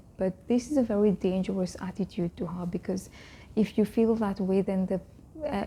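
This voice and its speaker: Soft-spoken and somewhat breathy, a woman with a medium pitch and a dark, mellow tone talks at a moderate pace with fairly even intonation. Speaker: vlogger on Islamic faith. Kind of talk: casual talk to camera.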